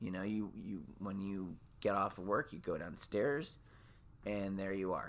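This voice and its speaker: A man with a Minnesota accent speaks at a fairly low pitch and a fairly slow pace. Long, frequent pauses break up his speech. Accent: Minnesota accent, gotten stronger. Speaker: podcast host. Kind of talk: casual monologue. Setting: home, on lunch break. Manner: halting, many repeated words.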